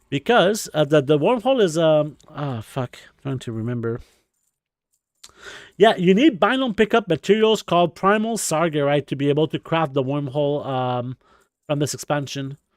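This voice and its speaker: In a very clean recording with a silent background and a dry, close sound with no echo, a man with a Quebec accent talks at a moderate pace in a fairly high pitch with lively intonation. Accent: French Canadian accent in English. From Quebec, French Canada. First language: French. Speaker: video game streamer. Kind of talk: live stream commentary. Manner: casual, many filler words.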